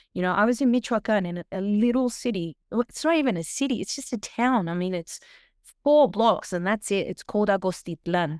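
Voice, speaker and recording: A woman with an Australian accent, medium pitch, lively intonation and an animated tone, at a fairly quick pace, in a dry, close sound with no echo. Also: very clean recording, silent background. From Australia, Sydney. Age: 40s. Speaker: singer and food vlogger. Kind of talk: interview.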